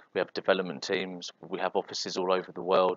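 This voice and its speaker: A man speaking at a fairly quick pace. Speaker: software consultant. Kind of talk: presentation. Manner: fast.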